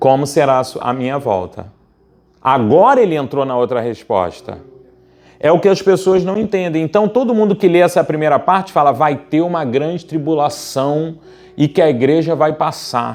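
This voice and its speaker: Lively in intonation, a man speaks at a moderate pace with a fairly high pitch. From Brazil, Rio de Janeiro. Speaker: pastor. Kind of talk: sermon. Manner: animated.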